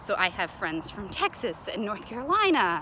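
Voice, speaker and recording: A woman in a Southern US accent, over noticeable background noise. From Kentucky, US South. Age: 20s. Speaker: college student studying abroad. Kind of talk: casual video message answering questions. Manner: casual with many fillers.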